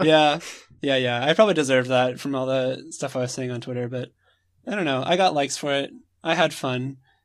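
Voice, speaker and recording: An unremarkable speaking voice with an American accent, moving at a fairly quick pace. Its pitch varies in an ordinary way. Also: man, medium pitch for a man. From United States. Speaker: podcast co-host, competitive gamer. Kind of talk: casual chat.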